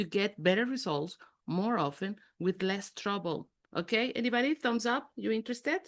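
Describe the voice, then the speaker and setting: Over a quiet background, a woman talks at a fairly quick pace with lively intonation and an animated tone. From Mexico City. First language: Spanish. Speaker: executive coach. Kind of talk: interactive online workshop talk.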